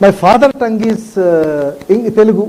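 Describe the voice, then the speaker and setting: A man with a South Indian accent speaks at a moderate pace in a high pitch, his intonation lively, with noticeable background noise behind him. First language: Tamil. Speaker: professor. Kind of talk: lecture.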